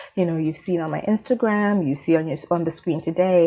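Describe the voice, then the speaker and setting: A woman talks at a moderate pace over background music. Her pitch is medium, with ordinary variation. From Zimbabwe. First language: Shona. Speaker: beauty vlogger. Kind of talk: casual vlog talk.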